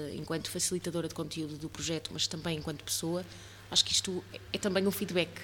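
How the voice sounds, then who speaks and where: A woman's fairly low voice has vocal fry and a bright, sharp tone, with ordinary pitch variation. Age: 30s. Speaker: podcast host and voice workshop leader. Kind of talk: casual interview chat.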